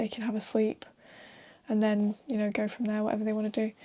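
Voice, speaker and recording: A soft-spoken woman's fairly high voice with a northern English accent and a dark, mellow tone. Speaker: comic artist. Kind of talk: casual talk while drawing.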